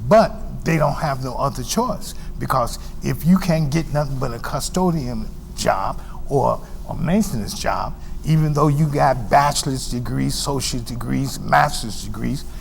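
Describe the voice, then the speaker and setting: A man talks at a moderate speed. Clear background noise and a noticeable room echo are present. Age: 70s. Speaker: TV community show host. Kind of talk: TV interview. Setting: TV studio. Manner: halting, repeats words.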